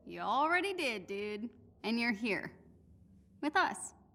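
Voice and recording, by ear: A woman speaks at a fairly slow pace in a put-on character voice. Her pitch is fairly high, swinging widely, with a fairly bright tone.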